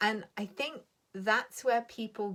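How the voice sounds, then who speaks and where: A woman's fairly high-pitched voice at a fairly slow pace, with ordinary pitch variation. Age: 30s. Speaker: spiritual coach. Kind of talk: motivational talk. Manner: animated.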